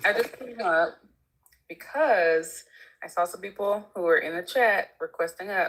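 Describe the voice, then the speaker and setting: A woman's calm tone at a medium pitch, with lively intonation. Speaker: chat moderator. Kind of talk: casual livestream talk. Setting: livestream.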